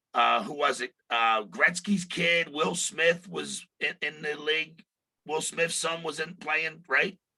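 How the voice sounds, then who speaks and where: Speaking in a Philadelphia accent, a man has a fairly high voice with a bright, sharp tone. He talks at a very slow pace. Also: ordinary pitch variation. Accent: Philly. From Philadelphia, US. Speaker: podcast co-host. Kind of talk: casual interview chat.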